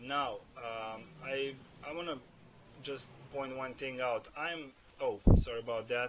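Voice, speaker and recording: Over noticeable background noise, a man speaks with a non-native accent. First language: not English. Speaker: gaming video creator. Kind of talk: gameplay build commentary. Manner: halting, many fillers and repeats. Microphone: cheap non-professional microphone, audible breathing.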